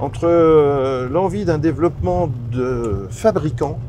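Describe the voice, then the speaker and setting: A man at medium pitch with very wide pitch swings, audible room echo and noticeable background noise. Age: 60s. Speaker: business founder. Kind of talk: interview. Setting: outdoors on a farm. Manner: hesitant, many fillers and repetitions.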